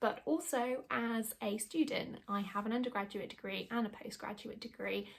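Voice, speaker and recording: Speaking at a moderate pace with a British accent, the voice shows vocal fry. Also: woman. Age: 30s. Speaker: YouTuber and former secondary school teacher. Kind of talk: casual tutorial.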